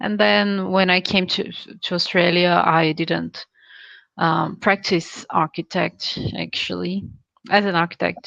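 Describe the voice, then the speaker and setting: A woman with a Brazilian Portuguese accent speaks at a fairly slow pace in a fairly low pitch, her tone bright and sharp with vocal fry and lively intonation, recorded dry and close with no echo against a quiet background. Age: 20s. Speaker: English learner. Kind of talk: casual chat.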